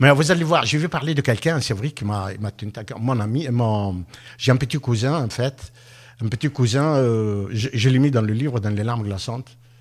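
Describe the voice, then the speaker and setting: A man with medium pitch and ordinary pitch variation speaks at a moderate pace. His voice is somewhat breathy, with long, frequent pauses. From Tunisia. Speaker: author, former public works contractor. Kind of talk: radio interview. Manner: halting.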